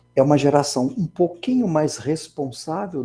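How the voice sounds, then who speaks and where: Man's voice, dark and mellow in tone, somewhat breathy, at a very slow pace. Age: 60s. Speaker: engineering professor. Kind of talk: lecture. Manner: conversational, many fillers.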